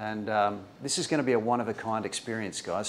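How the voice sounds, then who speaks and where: Here is a man with an unremarkable speaking voice, fairly low in pitch. He talks fairly quickly with fairly even intonation over light background noise. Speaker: video host. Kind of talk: casual vlog intro. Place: shop.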